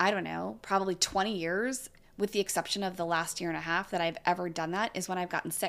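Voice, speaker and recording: Recorded very cleanly with a silent background, a woman with an American accent and an unremarkable speaking voice talks at medium pitch with ordinary pitch variation. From California. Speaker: yoga teacher. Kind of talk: casual chat.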